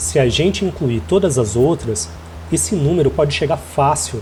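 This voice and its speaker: A medium-pitched man with a Brazilian accent and very wide pitch swings at a moderate pace, amid noticeable background noise. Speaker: immigrant video essayist. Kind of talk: scripted narration.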